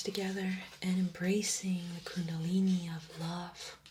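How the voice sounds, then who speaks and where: Over noticeable background noise, a woman speaks at a medium pitch in a monotone, flat intonation. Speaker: ASMR creator. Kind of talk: ASMR unwrapping and tarot reading. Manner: whispered, soft-spoken.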